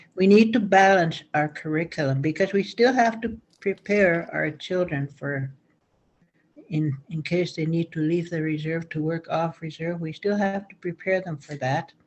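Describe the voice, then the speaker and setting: A woman talks at a moderate pace with a Canadian accent. Her pitch is fairly low, with ordinary variation. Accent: Stoney Nakoda First Nations English. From Stoney Nakoda First Nation, Alberta, Canada. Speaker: elder and school counselor. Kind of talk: talking circle remarks. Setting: video call. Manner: halting.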